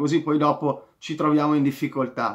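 A man's fairly high voice at a moderate pace over a quiet background. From Italy. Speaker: football vlogger, Inter fan. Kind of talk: angry rant, heated match review with sarcastic insults at a player. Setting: home video recording, direct address to viewers. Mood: frustrated, critical. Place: home room. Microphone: phone near.

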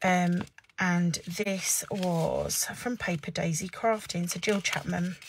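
Very slow, somewhat breathy speech from a woman with an English accent, medium in pitch, with fairly even intonation and light background noise. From England. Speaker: papercraft demonstrator. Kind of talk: live craft tutorial. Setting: Facebook live stream at desk. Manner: casual chatty. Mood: chatty, lightly amused. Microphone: phone near.

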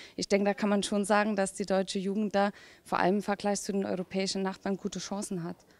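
Recorded dry with no echo, a woman speaks with monotone, flat intonation. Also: medium pitch for a woman. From Saarland, Germany. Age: young. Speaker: politician. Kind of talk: interview. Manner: hesitant with many fillers. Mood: friendly, relaxed. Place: hall. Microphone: handheld.

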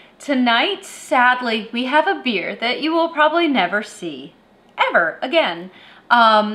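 Speaking at a very slow pace, a woman has a bright, sharp tone. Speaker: beer review show host. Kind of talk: review commentary. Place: home room.

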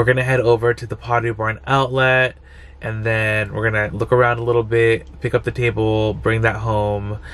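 Here a man is speaking. He keeps a moderate pace. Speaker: vlogger. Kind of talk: casual vlog chat. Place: car. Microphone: phone near.

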